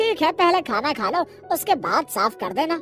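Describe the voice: Over clear music in the background, a squeaky, cartoonish character voice performs. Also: moderate pace.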